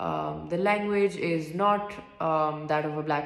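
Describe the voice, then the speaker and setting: A soft-spoken woman talks at a fairly low pitch. Audible room echo and noticeable background noise fill the recording. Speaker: student. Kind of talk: reflective monologue. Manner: halting.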